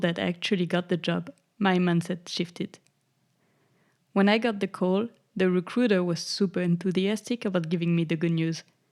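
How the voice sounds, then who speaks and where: On a very clean recording with a silent background, a woman with a French accent speaks at medium pitch and a moderate pace, her intonation fairly even and her loudness very even. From France. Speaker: podcast host. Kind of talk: podcast monologue. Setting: home recording.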